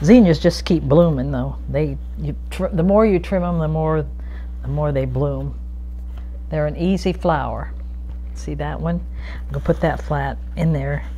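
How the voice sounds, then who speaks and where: A woman with a very deep, low voice speaks at a fairly slow pace with long, frequent pauses over light background noise. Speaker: gardener. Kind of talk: tutorial. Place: kitchen. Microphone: lapel.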